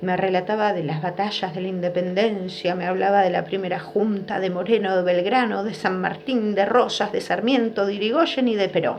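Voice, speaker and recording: Against noticeable background noise, a woman with an Argentine accent speaks at a moderate pace and medium pitch, her intonation fairly even. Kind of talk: children's story reading.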